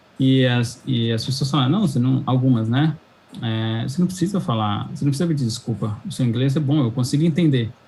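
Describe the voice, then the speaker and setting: Somewhat breathy speech at a fairly quick pace with ordinary pitch variation. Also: man, medium pitch for a man. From São Paulo, Brazil. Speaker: cloud engineer. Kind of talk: interview chat.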